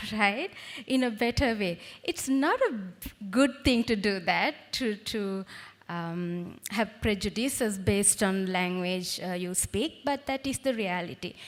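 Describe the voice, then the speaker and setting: Speaking at a fairly slow pace with a Sri Lankan accent, a woman uses lively intonation at a medium pitch. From Sri Lanka, Badulla. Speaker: university lecturer, chief guest. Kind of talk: speech. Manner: hesitant with fillers.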